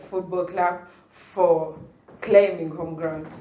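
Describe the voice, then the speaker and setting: A dark, mellow tone with audible room echo. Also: woman. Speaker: podcast host. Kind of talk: casual chat. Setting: studio.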